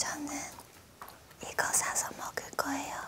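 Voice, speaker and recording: A woman whispers quietly at a very slow pace. Loud background noise runs behind her. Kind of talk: casual ASMR chat. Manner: quiet whisper near recorder. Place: studio. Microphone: handheld.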